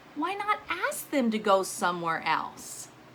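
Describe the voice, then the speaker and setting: Using a put-on character voice, a woman speaks at a high pitch and fairly slow pace over clear background noise. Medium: read story. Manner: cheerful, calm.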